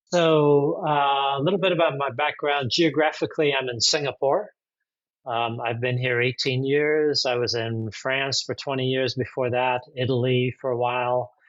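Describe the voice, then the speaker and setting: In an American accent, a man with an ordinary speaking voice talks at a moderate pace and medium pitch with fairly even intonation against a quiet background. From USA. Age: 60s. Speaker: executive coach. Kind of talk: interview conversation.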